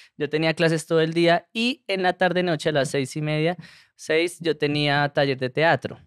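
An ordinary speaking voice from a man, fairly high in pitch with fairly even intonation and a moderate pace, dry with no echo over a quiet background. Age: 30s. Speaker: comedian. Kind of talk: casual chat. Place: studio. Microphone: studio mic.

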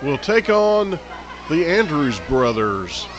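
This man talks at a very slow pace in a Southern US accent, his pitch swinging very widely. The sound is dry with no echo, and there is light background noise. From US South. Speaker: wrestling commentator. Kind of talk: live commentary. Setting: live event arena. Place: hall.

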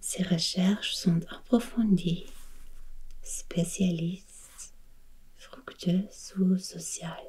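The speaker is soft-spoken and talks at a very slow pace. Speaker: language teacher. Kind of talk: tutorial. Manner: soft-spoken ASMR reading voice.

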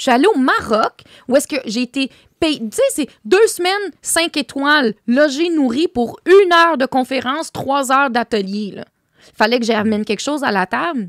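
A woman speaks with a high pitch and an animated tone at a moderate pace. Her pitch swings very widely, and the sound is dry with no echo against a quiet background. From Quebec. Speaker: entrepreneur; podcast guest. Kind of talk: casual chat. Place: studio. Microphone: studio mic.

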